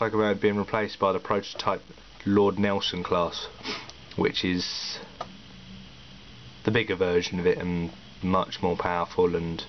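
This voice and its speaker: A man speaks over noticeable background noise. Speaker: model railway hobbyist. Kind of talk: casual model locomotive review to camera.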